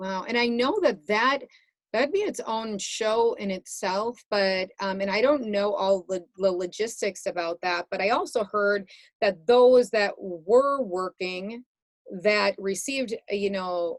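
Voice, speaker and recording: This woman has an ordinary speaking voice at medium pitch. She speaks at a fairly slow pace with ordinary pitch variation. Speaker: podcast host. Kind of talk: interview question.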